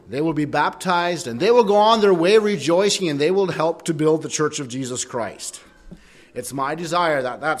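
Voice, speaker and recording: An ordinary speaking voice with ordinary pitch variation, at a fairly quick pace. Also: man. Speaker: preacher. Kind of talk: sermon. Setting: church.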